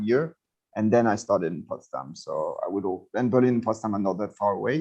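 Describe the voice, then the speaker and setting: Music plays in the background. A man with a French accent speaks at a medium pitch. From western France. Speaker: cultural anthropologist. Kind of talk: interview. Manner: halting.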